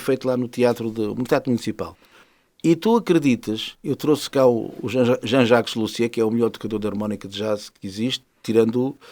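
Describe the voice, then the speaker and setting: The recording is very clean, with a silent background. In it, a man's medium-pitched voice moves at a fairly quick pace. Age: 60s. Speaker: musician and jazz festival organizer. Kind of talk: interview. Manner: animated.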